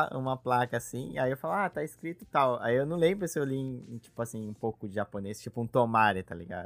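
Talking at a fairly quick pace, a man uses a plain, everyday voice at a medium pitch. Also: very clean recording, silent background. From Brazil. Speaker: podcast host. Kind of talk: casual chat.

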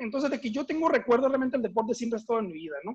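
The speaker is a man with ordinary pitch variation. His sound is dry and close, with no echo. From northern Mexico (Mexicali, Baja California). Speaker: former American football player. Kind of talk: interview.

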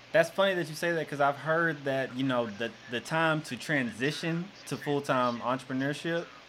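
A man at a moderate pace with a Southern US accent. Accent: US South. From Arkansas. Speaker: podcast host and coach. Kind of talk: casual chat.

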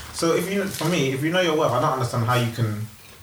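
Pitch swings very widely as the speaker moves at a fairly quick pace, with noticeable background noise behind. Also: man. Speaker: podcast panelist. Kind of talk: heated group debate. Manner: fast, emphatic, interrupting.

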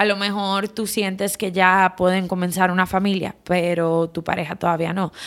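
On a very clean recording with a silent background, a woman with a Dominican accent speaks at a medium pitch and a moderate pace in a monotone, flat intonation. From Dominican Republic. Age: 30s. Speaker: psychotherapist and podcast host. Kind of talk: reflective solo podcast talk.

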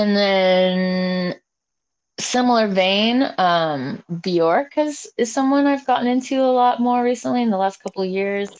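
A woman's plain, everyday voice at a medium pitch, with an American accent, lively intonation, and a fairly slow pace. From Oregon (Salem). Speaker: musician. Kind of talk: casual interview.

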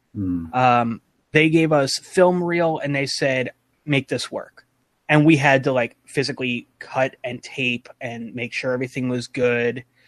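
In a plain, everyday voice, a man with an American accent speaks fairly slowly at a medium pitch with ordinary pitch variation. The sound is dry and close, with no echo. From New York / New Jersey area. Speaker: content creator. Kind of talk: casual chat.

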